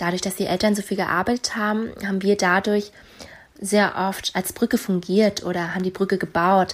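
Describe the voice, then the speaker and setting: A woman's medium-pitched voice runs monotone and flat in its intonation. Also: moderate pace. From Rostock, eastern Germany. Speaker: listener sending voice message. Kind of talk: recorded voice message.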